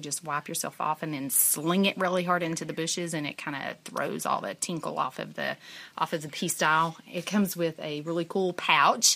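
With a Southern US accent, a woman talks at a fairly quick pace in a fairly low pitch, her tone bright and sharp. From US South, East Tennessee. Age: 40s. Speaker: thru-hiker. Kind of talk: field interview. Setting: outdoors at trail shelter.

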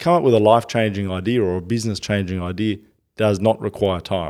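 With an Australian accent, a man speaks at a very fast pace and a very deep, low pitch. His pitch varies in an ordinary way on a very clean recording with a silent background. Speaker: author and entrepreneur. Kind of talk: interview.

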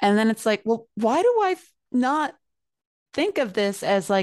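A woman in a normal speaking voice uses lively intonation at a moderate pace. The sound is dry and close with no echo, over a quiet background. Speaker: podcast co-host. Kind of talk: casual podcast chat.

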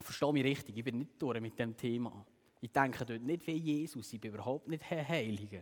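Moderate pace and ordinary pitch variation in a man's voice of medium pitch. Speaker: youth preacher. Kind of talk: sermon. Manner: animated.

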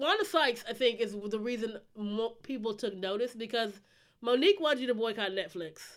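A woman with a plain, everyday voice, fairly high in pitch, with ordinary pitch variation, at a moderate pace. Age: 30s. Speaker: podcast co-host. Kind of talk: casual chat.

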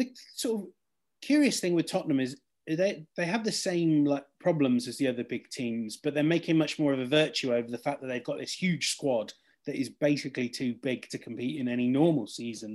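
A man with an English accent talks fairly quickly at a fairly high pitch. His intonation is lively, and the background is quiet. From England. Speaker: football journalist. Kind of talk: casual chat.

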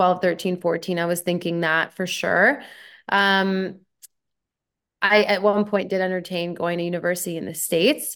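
A woman with a Canadian accent speaks at a moderate pace in a plain, everyday voice, medium in pitch with fairly even intonation, on a very clean recording with a silent background. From Canada. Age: 30s. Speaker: former pro tennis player and commentator. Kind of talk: casual interview.

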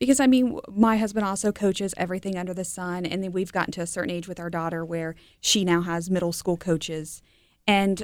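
A woman in a normal speaking voice, fairly low in pitch with ordinary pitch variation and a fairly quick pace, in a very clean recording with a silent background. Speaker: health executive and sports parent. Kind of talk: casual interview.

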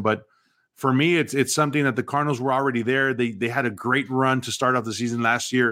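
A man with an American accent speaks at a medium pitch in an unremarkable speaking voice, his intonation fairly even. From South Texas, Mexican-born. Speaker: former pro football player. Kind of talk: casual interview.

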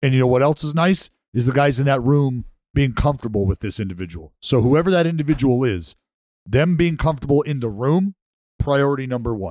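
An unremarkable speaking voice moves at a fairly quick pace. The intonation is lively. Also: man, medium pitch for a man. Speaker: podcast co-host. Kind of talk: casual chat.

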